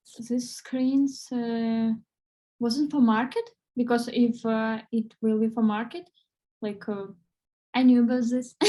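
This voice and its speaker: A woman with a non-native accent speaks at a high pitch in a dark, mellow tone with monotone, flat intonation. Her pace is very slow, with long, frequent pauses. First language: not English. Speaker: English learner. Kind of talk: online English class. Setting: video call. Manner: halting.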